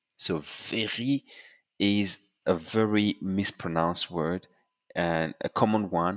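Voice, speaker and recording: A man with a French accent speaks at a very slow pace and a fairly low pitch, with ordinary pitch variation and long, frequent pauses. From France. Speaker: French tutor. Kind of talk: tutorial.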